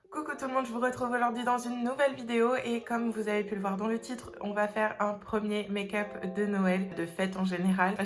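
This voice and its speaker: A woman's fairly quick, fairly even-toned speech amid noticeable background noise. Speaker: beauty vlogger. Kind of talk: makeup tutorial talk to camera. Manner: casual, hesitant.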